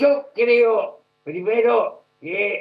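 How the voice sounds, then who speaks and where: A man's voice with lively intonation. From Argentina. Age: 80s+. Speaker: former politician, political commentator. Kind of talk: news interview.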